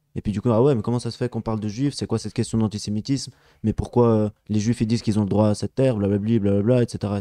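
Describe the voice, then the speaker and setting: A man speaks at a very fast pace in a fairly low pitch, his dark, mellow tone dry with no echo and his intonation fairly even against a quiet background. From Geneva, Switzerland (Palestinian family). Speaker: activist; guest. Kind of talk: casual chat. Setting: live stream studio. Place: home room. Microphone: studio mic.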